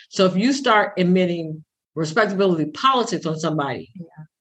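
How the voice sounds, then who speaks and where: Using an ordinary speaking voice, a woman speaks at medium pitch and a moderate pace with lively intonation. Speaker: pastor and podcast co-host. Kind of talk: casual podcast conversation.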